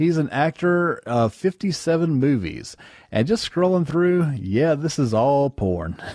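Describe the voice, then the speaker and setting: A man with a dark, mellow tone and fairly high pitch, very slow, with lively intonation and very even loudness. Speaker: podcast host reviewing bad movies. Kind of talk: casual comedic movie review chat.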